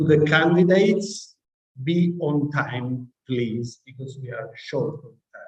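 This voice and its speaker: A somewhat breathy man with an Italian accent, a fairly high pitch, ordinary pitch variation and a very slow pace. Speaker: professor chairing graduation committee. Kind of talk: ceremony announcements.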